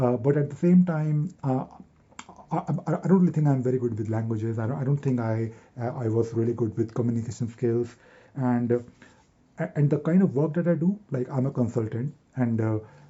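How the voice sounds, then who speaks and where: Somewhat breathy, a man at medium pitch talks at a fairly quick pace with ordinary pitch variation. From Delhi, North India. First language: Hindi. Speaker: YouTuber and software consultant. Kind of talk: casual vlog monologue to camera. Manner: fast; halting, many repetitions and fillers.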